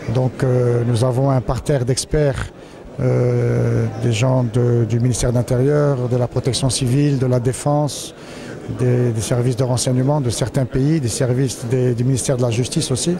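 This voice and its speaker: Over noticeable background noise, a man at medium pitch talks at a fairly quick pace in a monotone, flat intonation, his loudness very even and the sound dry with no echo. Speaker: security forum organizer. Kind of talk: interview. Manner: halting. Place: hall. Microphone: handheld.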